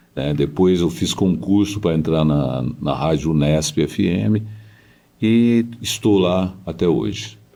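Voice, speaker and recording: A man with a very deep, low pitch and a dark, mellow tone talks at a very slow pace, his intonation lively and his loudness very even. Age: 70s. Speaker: radio broadcaster and journalist. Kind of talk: interview.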